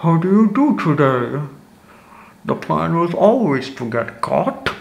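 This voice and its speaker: In a put-on character voice, a man speaks at a fairly slow pace with a high pitch and very wide pitch swings. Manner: odd, theatrical tone.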